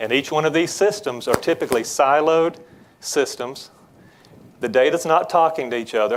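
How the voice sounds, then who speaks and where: Speaking with a Southern US accent, a man uses a fairly high pitch, ordinary pitch variation and a moderate pace. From Georgia, US South. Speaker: business development executive. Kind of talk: tech presentation. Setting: conference breakout stage with audience.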